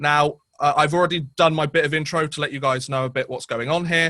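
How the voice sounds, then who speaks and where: A man talks at a fairly quick pace and a fairly high pitch, with ordinary pitch variation. His tone is bright and sharp, and the sound is dry and close, with no echo. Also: very clean recording, silent background. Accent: British. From Britain. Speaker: podcast host. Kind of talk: podcast interview.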